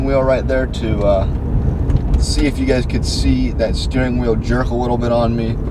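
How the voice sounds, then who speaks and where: Noticeable background noise and audible room echo are present. A man talks with hardly any pauses. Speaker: car reviewer. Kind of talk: car review while driving. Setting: in a car. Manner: loud.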